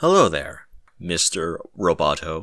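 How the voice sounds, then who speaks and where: At a fairly slow pace, a man delivers his lines in a put-on character voice. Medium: read story. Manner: confident, mocking.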